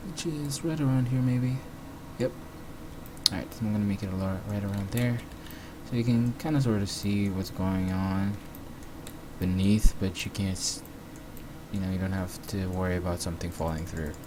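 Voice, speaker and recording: A man at a fairly low pitch and a moderate pace, with ordinary pitch variation, long, frequent pauses, audible room echo and noticeable background noise. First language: not English. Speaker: 3D graphics tutorial maker. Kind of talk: screen-recorded software tutorial. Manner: casual, hesitant with fillers.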